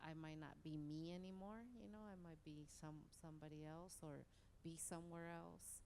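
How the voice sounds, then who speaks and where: A woman speaks at a moderate pace with a fairly low pitch and fairly even intonation. Audible room echo surrounds her voice. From Mexico, raised in US from age nine. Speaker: author. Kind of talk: panel Q&A talk. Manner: casual, many fillers.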